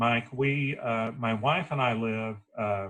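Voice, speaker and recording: A normal speaking voice carries ordinary pitch variation. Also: man. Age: 50s.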